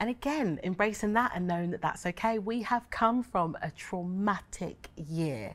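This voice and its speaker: Her pitch swings very widely as a woman talks at a moderate speed. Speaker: theatre artist in a panel. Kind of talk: discussion answer. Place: stage.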